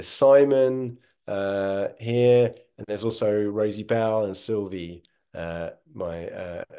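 Over a quiet background, a man talks in a dark, mellow tone with ordinary pitch variation. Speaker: project host. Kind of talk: webinar presentation. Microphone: webcam.

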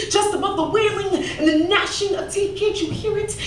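A woman's intense voice at a moderate pace, with audible room echo and light background noise. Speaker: spoken word poet. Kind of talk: spoken word poetry performance. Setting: live stage, comedy club audience. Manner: intense, emotional. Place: stage.

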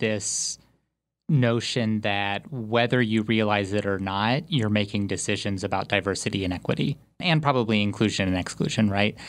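A man's fairly low, ordinary speaking voice at a moderate pace, in a very clean recording with a silent background. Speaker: research interviewer. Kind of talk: interview conversation.

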